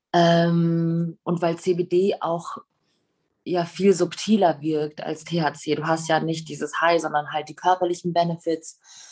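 Very slowly and in a flat monotone, a woman speaks at a fairly low pitch. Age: 30s. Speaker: singer and restaurateur. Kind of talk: casual interview.

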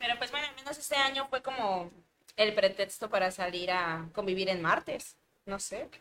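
Her pitch is medium for a woman. She speaks at a moderate pace with lively intonation. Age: 20s. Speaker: content creator. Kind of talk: casual chat. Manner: talkative.

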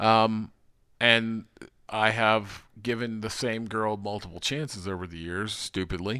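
In a very clean recording with a silent background, a man speaks fairly slowly at a fairly low pitch, with fairly even intonation and a bright, sharp tone. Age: 30s. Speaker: podcast host. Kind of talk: casual chat.

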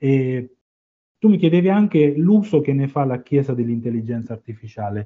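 A man's fairly high voice with lively intonation at a moderate pace. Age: 40s. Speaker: university communications director, lecturer and author. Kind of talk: interview. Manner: halting.

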